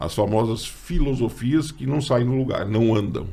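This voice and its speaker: This man's voice is somewhat breathy, with medium pitch and ordinary pitch variation at a fairly slow pace. Audible room echo surrounds him. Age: 60s. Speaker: teacher and podcast host. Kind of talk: casual chat.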